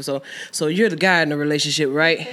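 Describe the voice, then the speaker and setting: A woman speaks in an American accent. Her pitch is very deep and low. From US South, Georgia. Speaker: musician. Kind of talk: casual chat.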